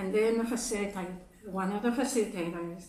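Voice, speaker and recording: With a Japanese accent, a woman speaks at a medium pitch with ordinary pitch variation, over noticeable background noise and audible room echo. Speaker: speaker at a congregation service. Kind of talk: sermon.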